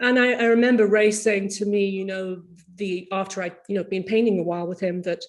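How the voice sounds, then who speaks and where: A woman uses a normal speaking voice at a medium pitch, talking fairly quickly. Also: fairly even intonation. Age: 60s. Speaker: painter. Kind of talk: casual chat.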